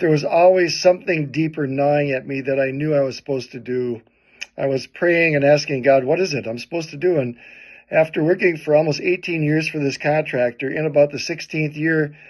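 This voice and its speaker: At a fairly quick pace, a man speaks with fairly even intonation in a fairly high pitch. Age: 60s. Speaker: pastor and evangelist. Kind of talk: personal testimony. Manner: casual, hesitant fillers.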